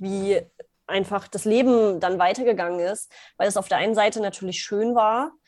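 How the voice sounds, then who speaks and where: A woman of medium pitch talks at a moderate pace in an unremarkable speaking voice with fairly even intonation, captured on a very clean recording with a silent background. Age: 30s. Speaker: business coach. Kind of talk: interview.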